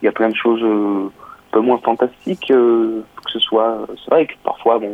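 Noticeable background noise under a man's medium-pitched voice, moving at a moderate pace. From southern France, Nice. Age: 20s. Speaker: saxophonist. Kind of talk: interview. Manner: hesitant.

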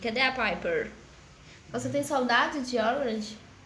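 A woman speaks at a high pitch. Audible room echo is present. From southern Minas Gerais, Brazil. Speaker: streamer chatting with strangers online. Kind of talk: casual chat. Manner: animated.

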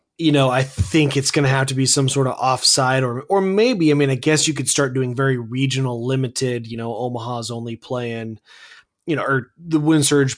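A normal speaking voice talks at a fairly quick pace. The background is quiet. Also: man. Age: 30s. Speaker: sports podcast co-host. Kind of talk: casual sports podcast chat.

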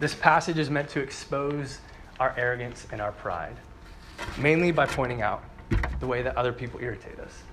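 Over audible room echo, a man at medium pitch speaks at a fairly quick pace with ordinary pitch variation, broken by long, frequent pauses. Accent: American. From US Northeast, New Jersey. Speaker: campus preacher. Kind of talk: sermon. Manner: conversational, engages audience.

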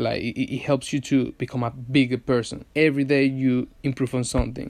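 A man speaks with a Venezuelan accent. His pitch is medium. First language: Spanish. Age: 20s. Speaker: podcast host, advertising agency owner. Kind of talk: solo podcast monologue. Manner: halting, many fillers and restarts.

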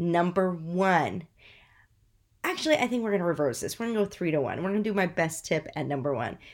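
Her pitch fairly low for a woman, she speaks with an animated tone and lively intonation. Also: fairly quick pace. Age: 40s. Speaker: podcast host, former science teacher turned entrepreneur. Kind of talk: solo motivational talk.

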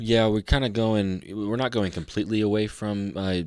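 Recorded very cleanly over a silent background, a man with a fairly low pitch talks at a fairly slow pace in an unremarkable speaking voice. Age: 20s. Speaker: podcast co-host. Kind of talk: casual chat.

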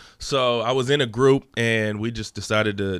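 Here is a man with an unremarkable speaking voice and a fairly low pitch. His intonation is fairly even, and the recording is very clean with a silent background. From Texas, Dallas area (moved from Los Angeles as a small child). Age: 30s. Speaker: podcast guest, public speaker. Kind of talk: casual chat.

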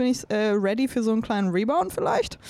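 Noticeable background noise lies under speech that has ordinary pitch variation. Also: woman. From Bavaria, Chiemsee and Munich. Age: 20s. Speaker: singer-songwriter. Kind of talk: casual interview chat.

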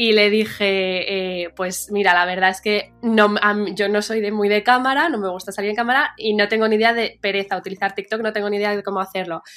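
Music plays in the background as the speaker moves at a fairly quick pace with hardly any pauses and fairly even intonation. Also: woman, medium pitch for a woman. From Madrid, Spain and New York. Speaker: media founder. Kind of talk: interview. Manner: halting, with many fillers.

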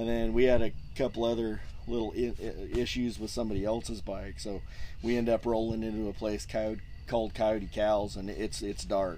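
A man speaks with an American accent at a moderate pace. There is audible room echo. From Southern California, Orange County. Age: 50s. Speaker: dirt bike race organizer. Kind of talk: casual interview. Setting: outdoors in race pits. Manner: halting, repeats words.

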